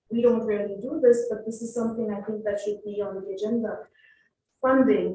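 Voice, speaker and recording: A somewhat breathy woman with a dark, mellow tone and fairly high pitch, in audible room echo. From India. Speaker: professor and panelist. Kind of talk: panel discussion. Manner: fast.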